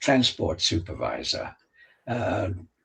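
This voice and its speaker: A man is speaking. His voice is somewhat breathy. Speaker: author and world traveller. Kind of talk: interview storytelling. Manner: halting, with fillers and restarts.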